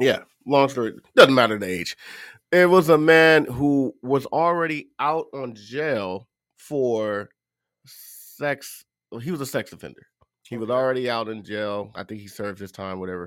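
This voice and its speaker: Here a man speaks in a plain, everyday voice at a medium pitch and a moderate pace. His intonation is lively, and his loudness swings widely. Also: very clean recording, silent background. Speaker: true crime podcast co-host. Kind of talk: casual chat. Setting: live stream.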